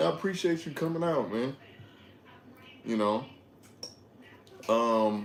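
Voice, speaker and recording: A man talks at a medium pitch with very wide swings in his intonation. Audible echo fills the room. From Detroit, Michigan, US. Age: 20s. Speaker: livestreamer. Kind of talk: casual livestream chat.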